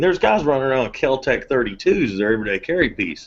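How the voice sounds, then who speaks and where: A man with a medium-pitched voice talks at a very fast pace with lively intonation. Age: 30s. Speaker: firearms company representative. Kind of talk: casual chat.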